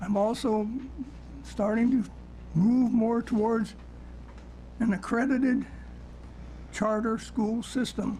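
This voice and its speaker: A man speaks very slowly with long, frequent pauses, his high-pitched voice flat and monotone against noticeable background noise. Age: 80s+. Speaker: public testifier at legislative hearing. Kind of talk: public testimony.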